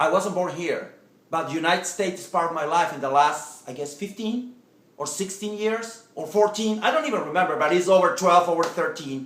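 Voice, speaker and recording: Speech moves at a fairly quick pace over noticeable background noise. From Latin America. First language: Spanish. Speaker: political vlogger. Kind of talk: political speech to camera. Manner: halting, repetitive.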